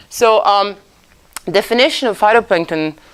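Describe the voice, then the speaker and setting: A woman with a Croatian accent speaks at a fairly quick pace in a medium pitch. Her intonation is lively. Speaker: oceanographer lecturer. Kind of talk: lecture. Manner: halting.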